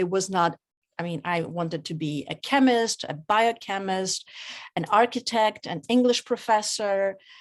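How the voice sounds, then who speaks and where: Woman's medium-pitched voice in a Polish accent, ordinary pitch variation, very clean recording with a silent background. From Poland. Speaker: author and clinical geneticist. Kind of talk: reading aloud; interview. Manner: halting.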